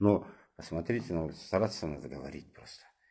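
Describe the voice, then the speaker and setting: A man talks with lively intonation in a very clean recording with a silent background. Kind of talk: moralizing monologue. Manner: animated.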